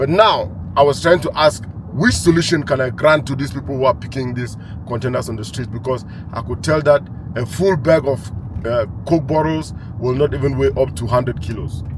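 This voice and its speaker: The speaker talks at a fairly quick pace with lively intonation. Noticeable background noise runs underneath. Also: man, medium pitch for a man. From Cameroon. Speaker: entrepreneur. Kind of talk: monologue to camera.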